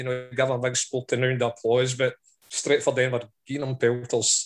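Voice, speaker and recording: A man speaks with a Scottish accent. His pace is fairly quick and his pitch is medium. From Scotland. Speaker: football fan.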